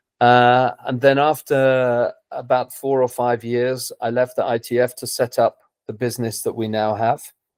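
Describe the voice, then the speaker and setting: A man with a southern English accent, monotone and flat, hardly any pauses, dry, close sound with no echo. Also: medium pitch for a man, moderate pace. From England, London. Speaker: tennis coach. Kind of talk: interview. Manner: hesitant, repeats words.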